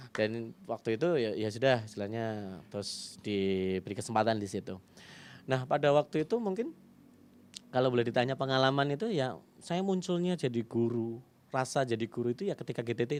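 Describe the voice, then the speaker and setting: Over a quiet background, an ordinary speaking voice moves at a fairly quick pace with lively intonation. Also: man, medium pitch for a man. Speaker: primary school teacher. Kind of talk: interview, personal story. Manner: casual, conversational.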